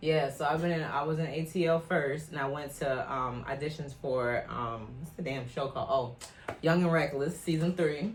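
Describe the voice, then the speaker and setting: A moderate pace in an American accent, with hardly any pauses and noticeable background noise. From Minnesota, Liberian community. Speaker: reality TV cast member. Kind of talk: casual interview. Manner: loud, outgoing.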